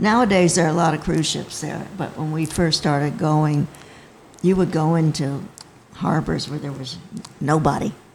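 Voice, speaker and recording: Through noticeable background noise, a woman with a very deep, low pitch talks at a moderate pace using ordinary pitch variation. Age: 80s. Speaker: sailing school co-founder. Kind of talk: casual chat.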